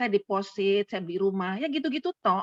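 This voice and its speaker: Her pitch swinging very widely, a woman speaks at a fairly quick pace in a dry, close sound with no echo. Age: 70s. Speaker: retired doctor and lecturer. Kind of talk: casual chat.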